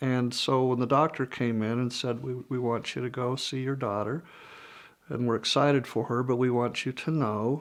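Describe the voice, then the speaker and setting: A man's normal speaking voice at medium pitch and a moderate pace. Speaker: interviewee, father with microtia. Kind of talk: personal interview testimony.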